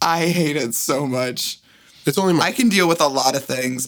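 A woman is speaking with ordinary pitch variation. Noticeable background noise is present. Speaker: podcast co-host, works in medical job. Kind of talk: casual chat between friends.

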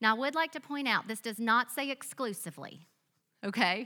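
Bright and sharp in tone, this voice carries a Southern US accent. The recording is very clean, with a silent background. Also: woman. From US South. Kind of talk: sermon. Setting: church with audience.

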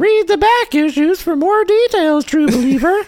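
At a moderate pace, the speaker performs a put-on character voice. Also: female-sounding voice, extremely high pitch for a woman.

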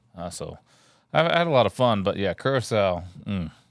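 Here a man speaks with a Texan accent. His pitch sits fairly low. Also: very clean recording, silent background. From Texas. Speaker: Coast Guard veteran. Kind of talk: casual chat. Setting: home studio.

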